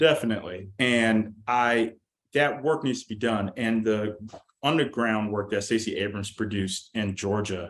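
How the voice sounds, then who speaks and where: A plain, everyday voice: a man with an American accent, medium pitch, moderate pace and ordinary pitch variation. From Deep South, USA. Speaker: Marine veteran and political operative. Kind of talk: podcast interview answer.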